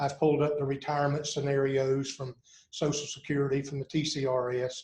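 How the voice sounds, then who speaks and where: At a fairly quick pace, a man speaks in a somewhat breathy, fairly high voice with monotone, flat intonation. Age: 60s. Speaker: university athletics administrator, former basketball coach. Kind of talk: podcast interview.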